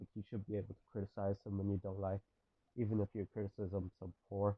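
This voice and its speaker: Shaky and monotone with flat intonation, a man talks at a fairly quick pace in a fairly low voice. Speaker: gaming commentator. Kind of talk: video essay. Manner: shaky voice; impassioned.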